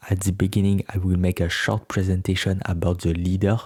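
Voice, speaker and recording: Very deep and low, a man's voice with a French accent comes across dark, mellow and somewhat breathy, with monotone, flat intonation, on a very clean recording with a silent background and a dry, close sound with no echo. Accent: non-native, French. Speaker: YouTuber, political explainer. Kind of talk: informative announcement video. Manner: slightly halting non-native delivery.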